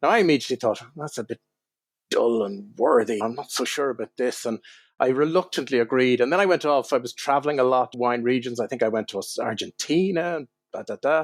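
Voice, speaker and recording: Fairly quick speech from a man, with ordinary pitch variation, on a very clean recording with a silent background. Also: medium pitch for a man, dry, close sound with no echo. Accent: Irish. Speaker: wine writer. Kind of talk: interview storytelling.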